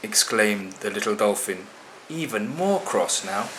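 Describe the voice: The speaker is plainly reading aloud.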